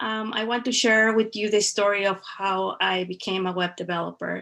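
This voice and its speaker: A woman with a Spanish accent speaks at a moderate pace in a bright, sharp tone with fairly even intonation. The recording is very clean, with a silent background. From Veracruz, Mexico. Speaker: web developer. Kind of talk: personal story presentation.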